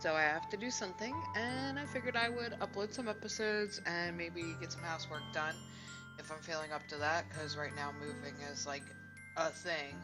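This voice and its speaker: With music in the background, a woman speaks at a fairly quick pace. Her very deep, low pitch moves in very wide swings. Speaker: let's play gamer. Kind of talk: casual talk to camera.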